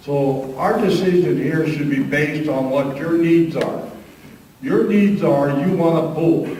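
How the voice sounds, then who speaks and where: A man talks with an American accent. Noticeable background noise and audible room echo surround him. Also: fairly high pitch for a man, ordinary pitch variation, fairly slow pace. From northeastern California (Lassen County). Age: 70s. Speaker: local government official. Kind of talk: public meeting debate. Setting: county board meeting.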